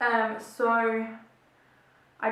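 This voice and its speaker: With an Australian accent, the voice carries some audible echo from the room. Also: woman. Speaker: beauty and chat vlogger. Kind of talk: casual chat while doing makeup. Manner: chatty, filler-heavy.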